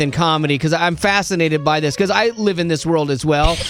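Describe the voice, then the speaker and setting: A man's high, animated voice at a fairly quick pace over music in the background. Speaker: radio host. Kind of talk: casual chat.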